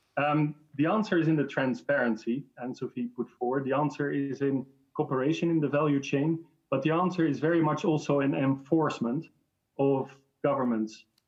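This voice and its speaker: At a fairly quick pace, a man speaks in a Dutch accent with a fairly high pitch. His loudness stays very even, and his pitch variation is ordinary. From Netherlands. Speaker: industry association director. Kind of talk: online panel debate. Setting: video call.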